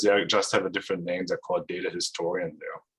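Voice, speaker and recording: A German accent over a quiet background. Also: man. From Germany. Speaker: data scientist and consultant; presenter. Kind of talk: technical presentation. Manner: hesitant, many fillers. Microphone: video call.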